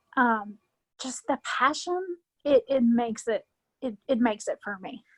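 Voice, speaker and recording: In a Southern US accent, a woman speaks at a fairly slow pace with a high pitch and ordinary pitch variation, the sound dry and close with no echo. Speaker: wrestling fan, podcast guest. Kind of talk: casual chat interview.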